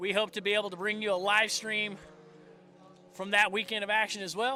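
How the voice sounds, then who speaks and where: In a Southern US accent, a man projects a raised, high-pitched voice with a bright, sharp tone at a moderate pace. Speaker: motorsport live-stream commentator. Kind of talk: live commentary. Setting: race track live stream.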